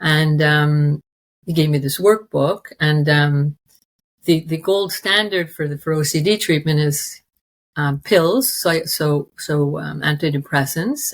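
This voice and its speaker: This woman's voice is very deep and low, with ordinary pitch variation and a somewhat breathy quality. She talks at a very slow pace. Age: 60s. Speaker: interview guest sharing recovery story. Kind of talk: personal testimony in interview. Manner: halting, many fillers and restarts.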